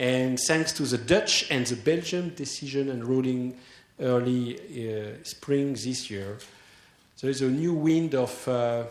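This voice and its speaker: At a very slow pace, a man of medium pitch speaks with a French accent amid audible room echo. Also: ordinary pitch variation. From France. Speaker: association president. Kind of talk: conference opening speech. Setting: conference hall with audience. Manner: hesitant, many fillers.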